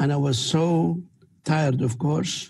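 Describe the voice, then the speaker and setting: A man with a somewhat breathy voice and a dark, mellow tone speaks at a fairly slow pace. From Palestine, Beersheba district near Gaza. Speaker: researcher. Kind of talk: interview testimony.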